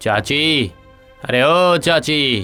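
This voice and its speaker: Over faint background music, a man puts on a character voice at a fairly high pitch. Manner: shouting, calling out loudly.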